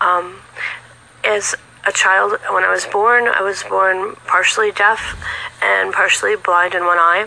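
This woman talks fairly slowly with an American accent, leaving long, frequent pauses. Her loudness stays very even throughout. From California. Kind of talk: testimony. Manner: halting, many fillers.

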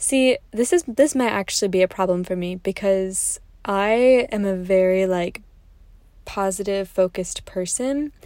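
On a very clean recording with a silent background, a woman talks at a fairly slow pace in a medium pitch, her tone dark and mellow and her pitch variation ordinary. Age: 20s. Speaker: podcast host, graduate student. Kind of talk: casual solo monologue. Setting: in a parked car. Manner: chatty, many fillers and laughs.

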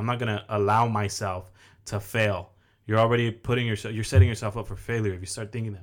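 In a very clean recording with a silent background, a man with an American accent speaks very fast in a flat monotone at a fairly low pitch, his loudness swinging widely. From Oxnard, California. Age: 20s. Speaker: mortgage lender and content creator. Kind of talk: casual interview chat. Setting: studio, sitting across host.

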